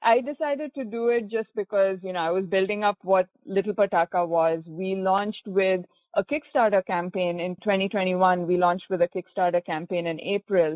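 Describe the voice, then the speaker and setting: Speaking at a fairly quick pace with hardly any pauses, a woman talks with a Goan accent. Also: medium pitch for a woman, ordinary pitch variation. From India, Bangalore. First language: Konkani. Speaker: entrepreneur. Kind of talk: interview.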